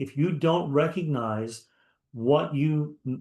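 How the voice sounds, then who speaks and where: A man talks in an unremarkable speaking voice with fairly high pitch and ordinary pitch variation. The background is quiet. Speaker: business mastermind co-host. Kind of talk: sales pitch. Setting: livestream with chat.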